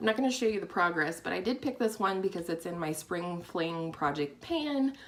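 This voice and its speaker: A woman of medium pitch talks at a fairly quick pace with lively intonation over noticeable background noise. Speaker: beauty vlogger. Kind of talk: product review vlog. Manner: fast; casual, chatty.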